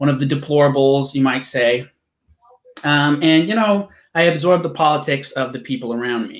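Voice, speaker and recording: In a quiet background, a man talks at a fairly quick pace with ordinary pitch variation. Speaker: interview host. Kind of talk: casual interview intro. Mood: relaxed, laughing. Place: home room. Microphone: webcam.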